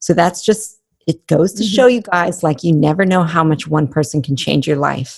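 Somewhat breathy and fairly low-pitched, a woman speaks with lively intonation. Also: moderate pace. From New Mexico, Albuquerque. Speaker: fitness entrepreneur and coach. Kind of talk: casual interview chat. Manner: bubbly.

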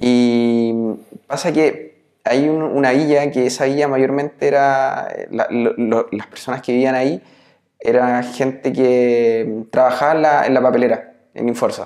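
A man speaks in a Chilean accent. His pace is fairly slow. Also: medium pitch for a man, fairly even intonation. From Chile, Biobío region (Nacimiento). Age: 30s. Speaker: entrepreneur, former tennis player. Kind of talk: interview. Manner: halting, many repetitions and fillers.

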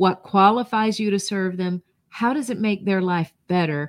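A woman with an American accent speaks at a fairly slow pace and medium pitch with ordinary pitch variation, in a plain, everyday voice, with a dry, close sound, no echo, and a very clean recording with a silent background. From North Georgia, US South. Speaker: personal branding consultant and author. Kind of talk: interview conversation.

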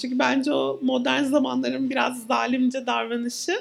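Her voice rises and falls across a very wide pitch range. This woman keeps to a moderate pace. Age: 30s. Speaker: psychologist. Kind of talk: live podcast conversation. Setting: venue with live audience.

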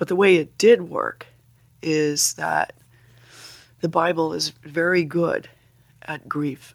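Speaking at a very slow pace with long, frequent pauses, a woman uses a fairly low pitch, fairly even intonation and vocal fry. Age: old. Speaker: retired English teacher and author, bereaved mother. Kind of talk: interview.

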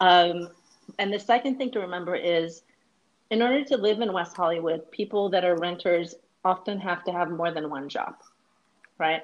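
Long, frequent pauses break up speech that keeps a moderate pace and ordinary pitch variation. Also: woman, fairly low pitch for a woman. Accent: American. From Northern California. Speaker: attorney and city council candidate. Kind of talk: interview.

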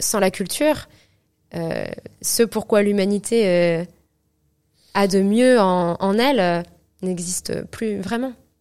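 In a very clean recording with a silent background, a woman with a medium pitch and ordinary pitch variation speaks at a very slow pace, pausing long and often. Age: 20s. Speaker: opera singer. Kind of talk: interview. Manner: halting.

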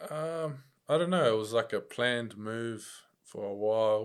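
This man speaks with a New Zealand accent at a fairly low pitch. The recording is very clean, with a silent background. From New Zealand, Upper Hutt, Wellington. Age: 20s. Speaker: professional kickboxer and MMA fighter. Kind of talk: casual chat.

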